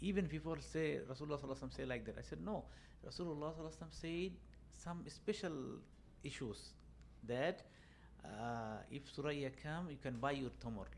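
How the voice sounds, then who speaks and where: With a Bangladeshi accent, a man talks at a very fast pace broken by long, frequent pauses. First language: Bengali. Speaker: banking and finance adviser. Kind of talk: casual chat. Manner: halting, many fillers.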